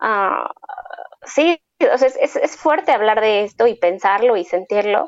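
A woman talks very slowly in a fairly high pitch. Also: lively intonation. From Mexico. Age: 20s. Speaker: dance collective member. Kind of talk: casual interview.

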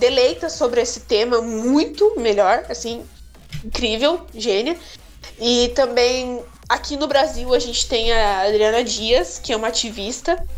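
Over music in the background, a woman with a high voice talks at a fairly slow pace, using ordinary pitch variation. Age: 20s. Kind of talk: casual chat.

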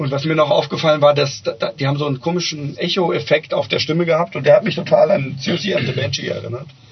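Over music in the background, a man talks at a very fast pace with fairly even intonation. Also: fairly high pitch for a man. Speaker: podcast co-host. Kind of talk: casual chat. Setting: on-location outdoor recording.

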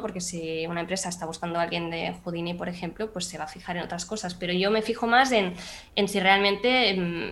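A woman talks at a fairly quick pace with a medium pitch and ordinary pitch variation. She has an ordinary speaking voice. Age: 20s. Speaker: 3D artist and CGI supervisor. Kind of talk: casual interview chat.

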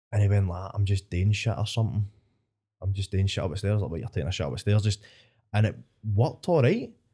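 A man with a Scottish accent talks very fast, in a fairly low, somewhat breathy voice with a dark, mellow tone. He leaves long, frequent pauses, and the recording is very clean with a silent background. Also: ordinary pitch variation. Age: 20s. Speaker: stand-up comedian. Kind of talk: casual chat.

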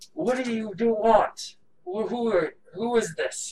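With a slight echo, a put-on character voice sits at a fairly high pitch. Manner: wary, demanding.

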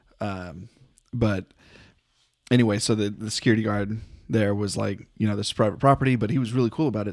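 In an unremarkable speaking voice with an American accent, a man talks at a fairly low pitch and fairly quick pace in a very clean recording with a silent background. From North Texas. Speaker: podcast co-host. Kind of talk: casual chat.

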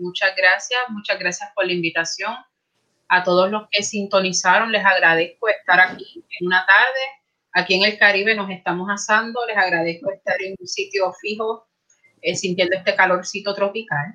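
Moderate in pace, a woman speaks at a medium pitch in a plain, everyday voice. Her intonation stays fairly even. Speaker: librarian, academic. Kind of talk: casual chat. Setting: video call.

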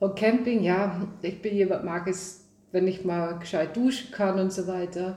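In a Dutch accent, a woman talks at a fairly slow pace with fairly even intonation. The room echo is audible. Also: medium pitch for a woman. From Netherlands. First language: Dutch (speaking German). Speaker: rally driver. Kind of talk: casual chat. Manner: halting.

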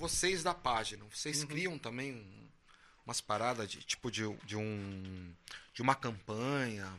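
A man's bright, sharp tone at a fairly slow pace. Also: medium pitch for a man, lively intonation. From Brazil, São José dos Campos. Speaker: podcast host, musician. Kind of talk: casual chat.

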